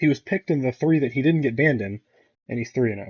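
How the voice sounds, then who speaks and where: Mumbling and somewhat breathy, a man talks in a fairly high voice with ordinary pitch variation. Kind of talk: casual commentary rant to camera.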